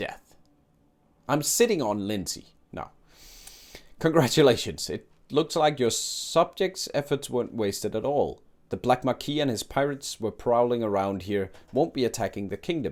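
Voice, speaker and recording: Lively intonation marks a man's speech, delivered with a non-native accent. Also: medium pitch for a man, moderate pace. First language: not English. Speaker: gaming streamer. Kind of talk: casual gameplay commentary; reading game dialogue aloud.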